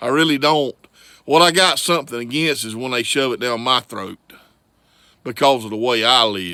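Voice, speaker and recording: A man's medium-pitched voice in a Southern US accent, bright, sharp and animated, with lively intonation and long, frequent pauses. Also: moderate pace. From US South, Florida Panhandle. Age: 50s. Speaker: vlogger. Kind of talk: political rant.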